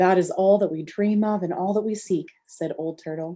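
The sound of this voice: An unforced reading voice against a quiet background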